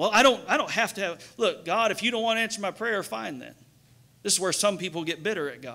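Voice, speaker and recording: A man's raised, projected voice, animated and bright and sharp in tone, at a fairly quick pace against a quiet background. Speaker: pastor. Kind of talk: sermon. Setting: church. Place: church. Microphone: headset.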